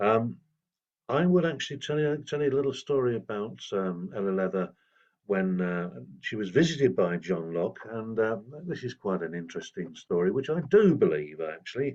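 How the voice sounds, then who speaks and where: At a moderate pace, a man with a fairly low pitch speaks with very wide pitch swings. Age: 70s. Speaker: folk singer and storyteller. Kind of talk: informal talk / storytelling workshop. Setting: outdoors in a garden. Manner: hesitant, many fillers.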